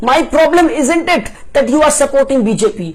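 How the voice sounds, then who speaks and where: Someone is shouting at a moderate pace amid noticeable background noise. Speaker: political commentary vlogger. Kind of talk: opinion rant. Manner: animated.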